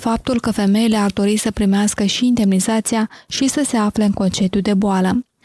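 In a very clean recording with a silent background and a dry, close sound with no echo, a woman speaks at medium pitch and a moderate pace, somewhat breathy, with a dark, mellow tone and monotone, flat intonation. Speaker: radio reporter. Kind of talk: news reading.

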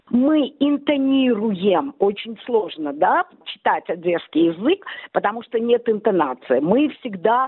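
A woman with an Odessa accent speaks at a very slow pace. Her fairly high pitch swings very widely. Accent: Odessa intonation, rising at ends. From Odessa, Ukraine. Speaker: blogger. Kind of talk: interview. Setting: phone call.

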